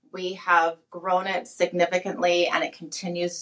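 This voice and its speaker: A woman has a normal speaking voice at a medium pitch with a Canadian accent. She talks at a fairly slow pace. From Canada, Alberta. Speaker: company CEO. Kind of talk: interview.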